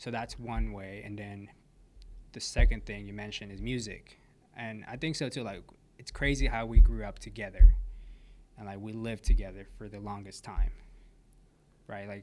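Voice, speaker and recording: Amid audible room echo, a man with an American accent speaks with big swings in loudness and long, frequent pauses. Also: moderate pace. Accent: Americanized, more than his brother's. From Mexico. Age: 20s. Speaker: podcast guest. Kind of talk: casual chat.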